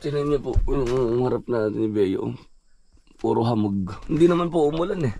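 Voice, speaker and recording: Speaking at a moderate pace, a man with a medium pitch has a dark, mellow tone and lively intonation. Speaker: vanlife vlogger. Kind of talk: casual vlog talk to camera.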